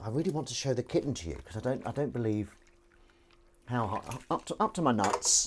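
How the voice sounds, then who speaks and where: A man keeps a fairly quick pace, his intonation lively. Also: medium pitch for a man. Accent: Southern English. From southern England. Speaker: livestreamer. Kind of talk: casual live stream chat. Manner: halting, stumbling.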